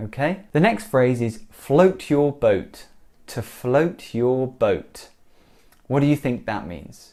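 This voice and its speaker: Very slow and lively in intonation, a man speaks with a British accent. His pitch is fairly high, his tone dark and mellow, and the recording is very clean with a silent background. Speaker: English teacher. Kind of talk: language lesson to camera.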